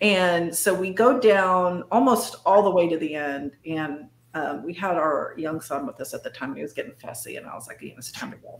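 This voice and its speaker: A woman talks at a moderate pace with lively intonation, hardly any pauses and big swings in loudness. Light background noise and audible room echo are present. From northern California. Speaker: cryptid and paranormal researcher; guest. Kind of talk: casual interview chat. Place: home room.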